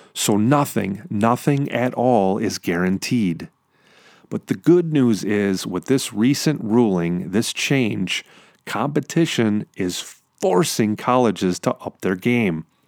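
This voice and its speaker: In a very clean recording with a silent background and a dry, close sound with no echo, a man speaks very slowly in a fairly low pitch with lively intonation. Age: 40s. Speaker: podcast host. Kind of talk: solo podcast monologue. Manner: animated.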